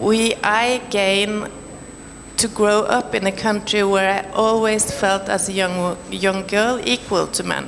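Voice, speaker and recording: Over noticeable background noise, a woman speaks fairly slowly at a medium pitch with a monotone, flat delivery. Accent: Norwegian. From Norway. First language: Norwegian. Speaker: panelist, film professional. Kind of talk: panel discussion. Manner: halting.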